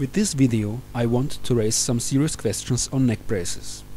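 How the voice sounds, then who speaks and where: A man of medium pitch speaks with a Czech accent. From Czech Republic. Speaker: mountain biker. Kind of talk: opinion monologue.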